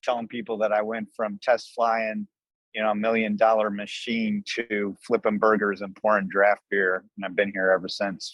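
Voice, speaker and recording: The sound is dry and close, with no echo. A man with an American accent uses a plain, everyday voice at a medium pitch and a moderate pace. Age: 60s. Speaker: restaurant owner, army veteran. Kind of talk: interview.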